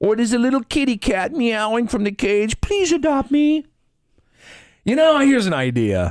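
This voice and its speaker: A man with a high voice swings his pitch very widely on a very clean recording with a silent background. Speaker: radio talk show host. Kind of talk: radio talk show banter. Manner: chatty, humorous, conversational.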